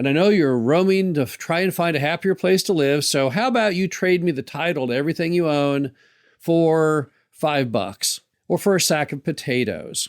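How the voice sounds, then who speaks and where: In a very clean recording with a silent background, a man with a normal speaking voice and a fairly high pitch speaks at a moderate pace. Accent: American. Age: 60s. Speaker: podcast host, mobile home park investor. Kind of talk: solo podcast monologue.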